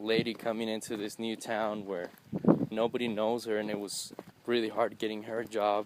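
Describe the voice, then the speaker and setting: A man of medium pitch with monotone, flat intonation, amid noticeable background noise. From US South, Texas border (McAllen). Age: 20s. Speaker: DJ and event entertainer. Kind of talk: personal interview testimony. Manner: halting, with many fillers.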